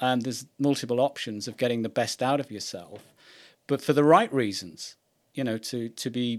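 This is a very clean recording with a silent background. A man speaks with ordinary pitch variation. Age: 50s. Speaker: podcast host. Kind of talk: interview.

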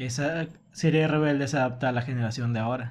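At a moderate pace, the voice keeps its intonation fairly even. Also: man. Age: 20s. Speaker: podcast co-host. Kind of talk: casual chat.

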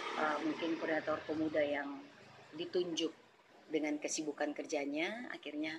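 A woman with a very deep, low pitch talks at a moderate pace in a monotone, flat intonation. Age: 40s. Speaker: church elder and youth coordinator. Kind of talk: interview. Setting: podcast recording.

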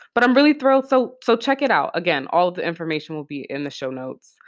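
A woman's voice shows big swings in loudness. Her pitch swings very widely. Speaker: podcast host and arts healing workshop facilitator. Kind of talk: solo podcast monologue.

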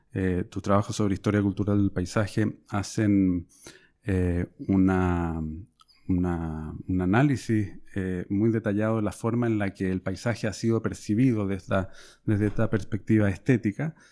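A man speaks at a moderate pace in a Chilean accent, his pitch fairly low. His tone is dark and mellow, with fairly even intonation. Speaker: podcast host, historian and professor. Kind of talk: interview. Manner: halting, frequent fillers.

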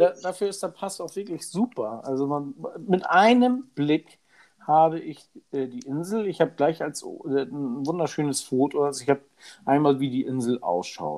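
A man talks in a plain, everyday voice at a moderate pace. His pitch is fairly high, and his intonation is lively. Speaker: podcast co-host. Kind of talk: casual chat. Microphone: new microphone, home-made studio.

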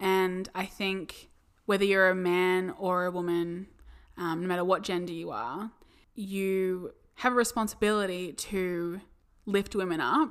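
A woman with an Australian accent, medium in pitch, at a fairly slow pace with fairly even intonation, in a very clean recording against a silent background. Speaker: podcast co-host. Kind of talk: casual chat.

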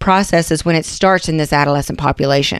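A woman is speaking. She has an Appalachian accent. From West Virginia. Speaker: nurse practitioner, podcast host. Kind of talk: educational podcast monologue. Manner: casual, conversational.

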